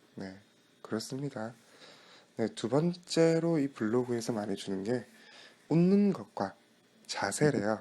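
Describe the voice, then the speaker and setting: A man talks in a calm tone at a fairly slow pace, his dark, mellow voice moving in very wide pitch swings. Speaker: internet radio DJ. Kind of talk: radio-style talk show. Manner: calm, friendly.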